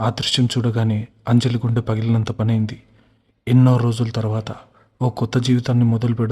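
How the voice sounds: A natural reading voice is heard here.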